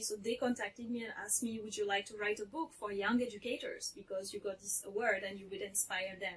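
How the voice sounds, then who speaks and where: A woman with a French accent talks at a fairly quick pace with a fairly high pitch and fairly even intonation, amid noticeable background noise. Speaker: teacher and author. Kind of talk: interview.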